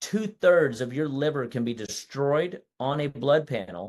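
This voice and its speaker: The tone is animated, with ordinary pitch variation. The background is quiet. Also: man. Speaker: natural health doctor. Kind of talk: webinar presentation. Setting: online webinar. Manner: fast.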